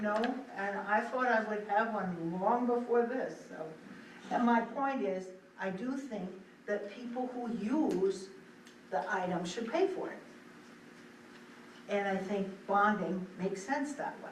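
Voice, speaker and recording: Amid noticeable background noise and audible room echo, a woman with a fairly high pitch and ordinary pitch variation speaks at a fairly slow pace with long, frequent pauses. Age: 70s. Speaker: select board member. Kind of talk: public meeting discussion.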